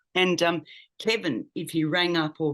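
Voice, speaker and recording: The background is quiet. A woman is speaking. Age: 60s. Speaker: medical intuitive. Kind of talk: interview.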